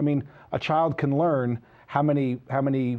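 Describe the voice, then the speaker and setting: A man speaks with a New Jersey accent. His pitch sits in the medium range. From New Jersey (Sayreville). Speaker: entrepreneur, website founder. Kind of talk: interview.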